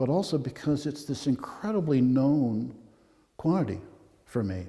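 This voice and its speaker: A man with a medium-pitched, dark, mellow tone talks at a fairly slow pace and sounds somewhat breathy. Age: 70s. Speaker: photographer. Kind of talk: gallery talk. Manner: halting.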